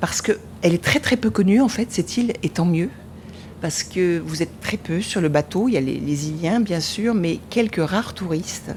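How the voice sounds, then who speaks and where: A woman with a fairly low pitch speaks at a moderate pace with lively intonation. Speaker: traveller. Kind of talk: travel storytelling. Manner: halting.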